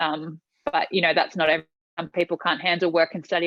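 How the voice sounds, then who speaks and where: Speaking at a very fast pace, a woman with an Australian accent has a fairly low pitch. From Tonga and Australia. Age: 20s. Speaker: pageant finalist and entrepreneur. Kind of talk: podcast interview.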